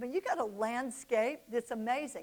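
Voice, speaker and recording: Speaking in a Southern US accent, a woman is heard. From US South, Oxford, Mississippi. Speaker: business speaker. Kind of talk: motivational talk. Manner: animated.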